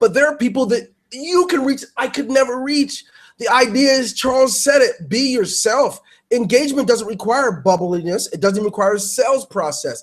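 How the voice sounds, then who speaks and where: Loud and animated, a man speaks at a moderate pace with an extremely high pitch and lively intonation. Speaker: webinar host. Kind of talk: webinar talk. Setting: online webinar.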